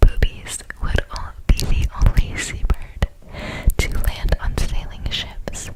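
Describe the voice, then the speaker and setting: Whispered speech comes very slowly amid noticeable background noise. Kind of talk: ASMR whispered fun-facts reading. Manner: whispered, soft.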